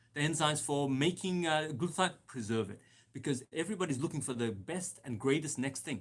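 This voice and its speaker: Recorded very cleanly against a silent background, a man talks at a fairly quick pace in a fairly high pitch, his intonation lively, his tone animated and his voice somewhat breathy. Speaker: doctor hosting health Q&A. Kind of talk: live Q&A talk. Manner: fast.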